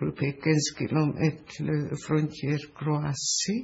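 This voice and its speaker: Speaking very slowly, a woman with a Hungarian accent uses a very deep, low pitch. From Hungary. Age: 80s+. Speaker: Holocaust survivor. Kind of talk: interview answer. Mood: calm, thoughtful. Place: studio.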